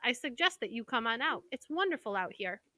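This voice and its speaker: A woman puts on a character voice at a high pitch and a fairly quick pace. The recording is very clean, with a silent background. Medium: read story. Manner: fast, repeats words.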